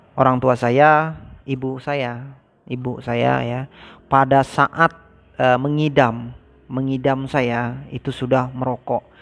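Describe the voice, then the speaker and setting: The dry, close sound with no echo carries a man's medium-pitched voice with fairly even intonation. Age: 30s. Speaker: vlogger. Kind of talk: personal story vlog. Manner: casual, hesitant with fillers.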